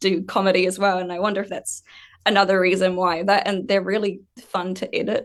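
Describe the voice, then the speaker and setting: Speaking at a fairly quick pace, a woman with a New Zealand accent has a medium pitch. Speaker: ASMR artist. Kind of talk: panel discussion. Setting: livestream panel.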